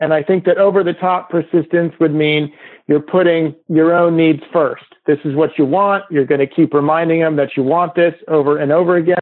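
A man speaks at a fairly quick pace with a fairly high pitch. His intonation is monotone and flat, and his loudness stays very even. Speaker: classic car dealer and appraiser. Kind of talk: interview.

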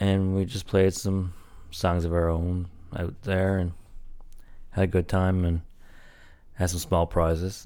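A man speaks in a very deep, low voice with a dark, mellow tone. His intonation is monotone and flat, broken by long, frequent pauses. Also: fairly slow pace. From Newfoundland, Canada. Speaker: podcast host. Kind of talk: casual solo monologue.

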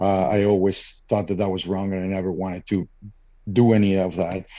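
A man with a Spanish accent speaks at a moderate pace. His voice is fairly low in pitch with a dark, mellow tone. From Mexico. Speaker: father starting a men's support group. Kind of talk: interview.

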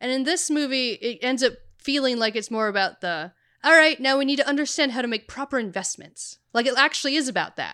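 In a very clean recording with a silent background, a woman uses a raised, projected voice that is high in pitch, bright and sharp in tone, with lively intonation at a fairly quick pace. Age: 30s. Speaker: podcast co-host. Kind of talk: casual chat.

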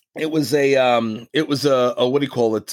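A man with a New York accent at a moderate pace, on a very clean recording with a silent background. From Long Island, New York. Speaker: former pro wrestler. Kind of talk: interview. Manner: halting.

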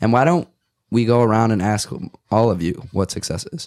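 A man speaks at a moderate pace with fairly even intonation and a slightly mellow tone. The recording is very clean, with a silent background.

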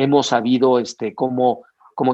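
A man with a plain, everyday voice and medium pitch. He speaks at a fairly slow pace. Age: 50s. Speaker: sports event entrepreneur. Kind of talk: interview.

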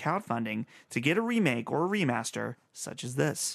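The background is quiet. A man speaks at a medium pitch. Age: 20s. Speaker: video game podcast host. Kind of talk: casual chat.

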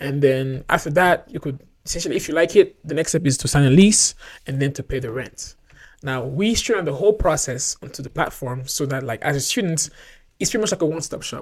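At a fairly quick pace, a man with a fairly high, somewhat breathy voice speaks with ordinary pitch variation. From overseas, outside North America. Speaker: startup co-founder and operations executive. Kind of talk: casual interview.

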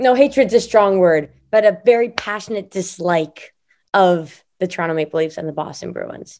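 An ordinary speaking voice moves at a moderate pace, with lively intonation and big swings in loudness. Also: woman, medium pitch for a woman. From Montreal, Canada. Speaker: singer-songwriter. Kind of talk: casual interview chat.

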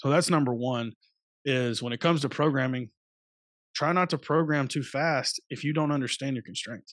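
Against a quiet background, a man with an American accent talks in a normal speaking voice at a fairly high pitch and a moderate pace, with ordinary pitch variation and a dry, close sound with no echo. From US South, Alabama. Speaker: high school strength coach. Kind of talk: podcast interview.

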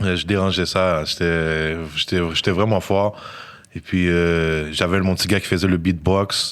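A man speaks at a very slow pace with a very deep, low pitch. His intonation is monotone and flat, and his loudness stays very even. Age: 20s. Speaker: rapper. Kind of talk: casual chat.

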